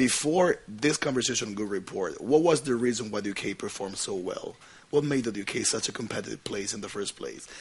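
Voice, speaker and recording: Against noticeable background noise, a man with a medium pitch speaks with lively intonation. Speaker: moderator. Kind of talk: panel conversation.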